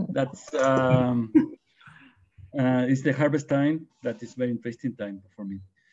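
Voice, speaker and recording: A man with a Spanish accent speaks fairly slowly at a medium pitch, with ordinary pitch variation. His loudness swings widely, and he pauses long and often. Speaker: winemaker. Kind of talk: panel discussion. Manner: halting.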